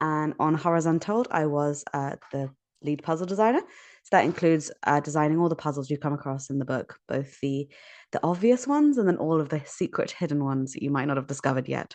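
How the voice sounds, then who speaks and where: Against a quiet background, a woman with a British accent talks at a fairly quick pace in a very deep, low pitch with ordinary pitch variation. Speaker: puzzle designer. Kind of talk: interview. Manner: casual, some filler words.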